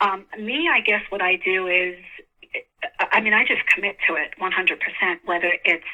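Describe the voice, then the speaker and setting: Speaking at a moderate pace with a New York accent, a woman keeps a medium pitch and fairly even intonation. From New York City, Queens. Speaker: actress. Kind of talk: interview.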